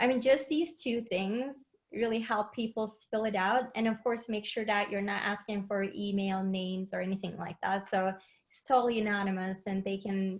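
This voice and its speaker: Speaking with a non-native accent at a moderate pace, a woman sounds somewhat breathy, her fairly high pitch showing ordinary variation. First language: not English. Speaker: head of learning and enablement, webinar guest. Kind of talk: webinar interview. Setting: live webinar, remote.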